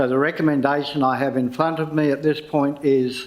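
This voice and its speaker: Speaking with an Australian accent, a man has a fairly high pitch and monotone, flat intonation. Audible room echo surrounds his voice. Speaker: council meeting chair. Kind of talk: formal meeting procedure. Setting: council chamber, live streamed. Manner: loud.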